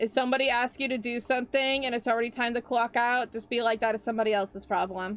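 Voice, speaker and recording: In an American accent, a woman with a high pitch talks at a very fast pace. Her intonation is flat and monotone. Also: hardly any pauses. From US. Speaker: vtuber streamer. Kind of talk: casual chat.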